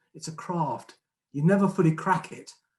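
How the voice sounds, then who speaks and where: Someone with a southern English accent speaks at a moderate pace. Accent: southern English twang. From southern England. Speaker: retired head teacher and trust chief executive. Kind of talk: conference speech.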